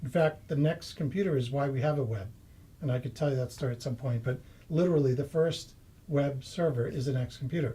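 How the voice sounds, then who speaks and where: In a Boston accent, a man talks at a very fast pace with ordinary pitch variation. His voice is fairly high, dark, mellow and somewhat breathy. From Massachusetts, US. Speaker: property investor. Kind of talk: interview.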